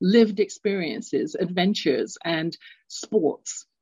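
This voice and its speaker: With an English accent, a woman speaks at a moderate pace in a medium-pitched, somewhat breathy voice with a dark, mellow tone and ordinary pitch variation, the sound dry and close with no echo. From London, England. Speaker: radio show host and executive coach. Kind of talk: solo radio talk. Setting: live radio stream.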